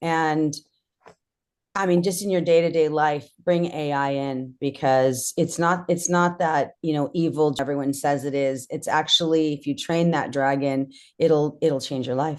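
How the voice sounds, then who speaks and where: At a fairly slow pace, a woman with an American accent speaks with a very deep, low pitch and fairly even intonation against a quiet background. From Southern California (Orange County). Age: 50s. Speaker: real estate investor. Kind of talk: podcast interview.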